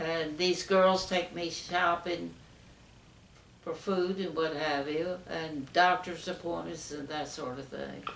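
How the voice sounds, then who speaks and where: A woman at a very slow pace, flat and monotone, over noticeable background noise. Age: 80s+. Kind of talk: interview answer.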